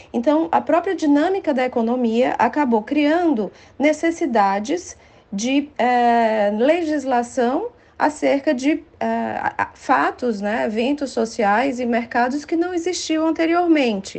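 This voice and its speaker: Her pitch high and her intonation lively, a woman talks at a very slow pace. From Brazil, Ceará (Fortaleza). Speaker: law professor. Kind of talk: interview.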